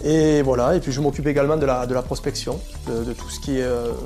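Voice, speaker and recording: A man at a very fast pace, with music in the background. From southern France. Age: 30s. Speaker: cave tour guide. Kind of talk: interview answer. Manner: casual, hesitant.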